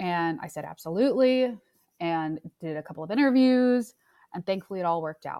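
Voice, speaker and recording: Using an American accent, a woman speaks at a fairly quick pace with a dark, mellow tone and medium pitch, showing very wide pitch swings and big swings in loudness. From New York. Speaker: music industry executive. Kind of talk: interview.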